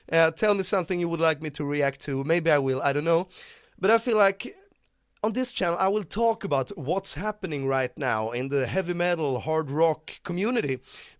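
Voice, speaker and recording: In a strong Swedish accent, a man speaks high and at a moderate pace with lively intonation. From Sweden. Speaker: YouTuber, rock music commentator. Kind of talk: casual vlog monologue. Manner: halting, frequent repetitions and fillers.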